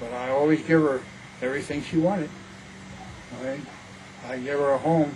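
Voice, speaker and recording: Over noticeable background noise, a man speaks at a moderate pace in a fairly high voice with fairly even intonation. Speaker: grandfather. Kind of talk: interview answer.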